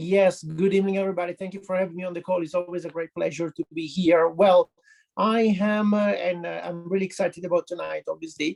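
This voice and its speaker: A man with an Italian accent speaks at a very fast pace in a high voice. His intonation is monotone and flat, and the sound is dry and close with no echo. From Italy. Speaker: health professional. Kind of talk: testimony. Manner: halting.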